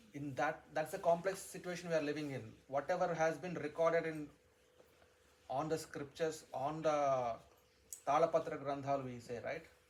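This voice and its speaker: A man speaks with a Telugu accent at a fairly high pitch. His pace is fairly quick and his intonation fairly even. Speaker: spiritual teacher. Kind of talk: religious discourse. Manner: repetitive, halting restarts.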